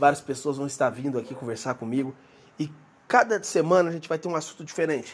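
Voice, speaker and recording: A man with a normal speaking voice talks at a fairly quick pace, his pitch fairly high and its variation ordinary. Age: 30s. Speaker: podcast host, former missionary. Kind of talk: casual solo podcast introduction. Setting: recording alone.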